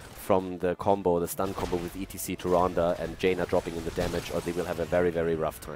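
A man speaks at a fairly quick pace in a very deep, low voice, with noticeable background noise behind him. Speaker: esports commentator and streamer. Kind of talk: live commentary. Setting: live stream. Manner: casual, self-deprecating, chatty.

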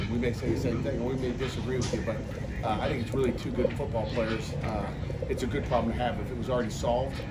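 Very fast speech from a man, backed by music. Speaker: head football coach. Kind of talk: press interview answer. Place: street.

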